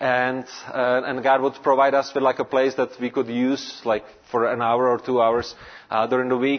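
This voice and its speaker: A man's flat, monotone delivery at a medium pitch and moderate pace. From Czech Republic, Prague. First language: Czech. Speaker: pastor. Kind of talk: sermon. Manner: halting.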